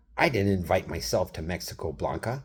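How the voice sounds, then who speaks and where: Speaking with an American accent, a man uses a very deep, low pitch with vocal fry and very wide pitch swings at a moderate pace. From Wisconsin. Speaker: vlogger. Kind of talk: casual monologue. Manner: animated.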